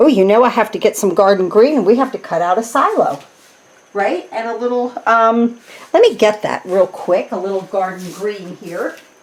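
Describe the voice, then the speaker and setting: A woman with an American accent speaks in a fairly high pitch with lively intonation at a moderate pace. Noticeable background noise runs through the clip. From New Jersey. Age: 60s. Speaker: craft demonstrator. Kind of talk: tutorial. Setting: home craft room. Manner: casual, chatty with filler words.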